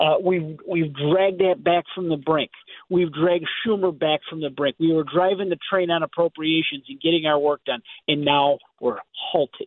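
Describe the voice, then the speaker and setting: A man's plain, everyday voice at a moderate pace with ordinary pitch variation. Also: fairly high pitch for a man. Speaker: congressman. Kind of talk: political interview.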